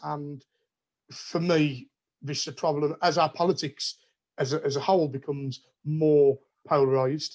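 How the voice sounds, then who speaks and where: A man speaks with a West Midlands accent at a fairly high pitch and moderate pace. His intonation is monotone and flat against a quiet background. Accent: Wolverhampton. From Wolverhampton, English West Midlands. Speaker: politics researcher. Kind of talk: academic conversation. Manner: repetitive, stumbling.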